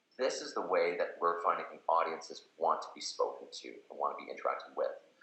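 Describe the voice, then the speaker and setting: Room echo can be heard. The talking goes at a fairly quick pace. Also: man. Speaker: company representative presenting product. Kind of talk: webinar product presentation. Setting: online webinar. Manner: fast; many fillers and repetitions.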